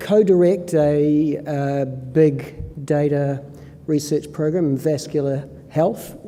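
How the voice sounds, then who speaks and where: Very slow and fairly even in intonation, a man with a New Zealand accent and fairly high pitch speaks with audible room echo and noticeable background noise. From New Zealand, Northland. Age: 60s. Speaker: professor and epidemiologist. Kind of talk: conference presentation. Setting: conference stage with audience. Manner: hesitant with many fillers.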